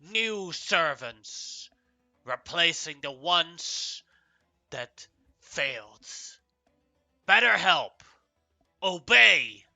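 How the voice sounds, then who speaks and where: With music in the background, a man performs a put-on character voice at a high pitch, raised and projected. He goes at a very slow pace with long, frequent pauses. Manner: stern, commanding.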